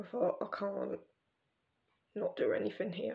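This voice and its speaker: Speaking quietly, a woman uses an English accent. Her pace is fairly slow. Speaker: vlogger. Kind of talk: casual vlog monologue.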